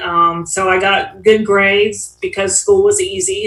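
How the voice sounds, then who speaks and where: Over noticeable background noise, a woman speaks at medium pitch in a monotone, flat intonation. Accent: American. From Ohio, US Midwest. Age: 60s. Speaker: AA speaker. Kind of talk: recovery testimony. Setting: online meeting. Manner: casual, with many fillers.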